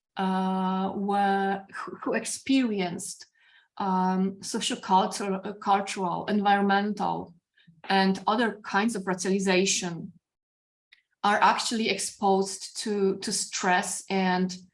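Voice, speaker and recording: Very slow, monotone speech with flat intonation in a Polish accent, against a quiet background. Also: woman, medium pitch for a woman. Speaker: philosophy professor. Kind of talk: academic discussion. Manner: halting.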